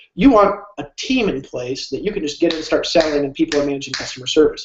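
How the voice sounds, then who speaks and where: With lively intonation, a man speaks at a very fast pace and a fairly high pitch. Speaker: online business coach. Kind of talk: live webinar sales pitch. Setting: live stream. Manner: animated.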